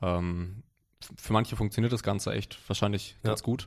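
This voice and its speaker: A man with a fairly low pitch and fairly even intonation is heard in a very clean recording with a silent background. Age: 20s. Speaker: powerlifter and online coach. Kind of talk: casual chat. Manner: halting, many fillers and repetitions.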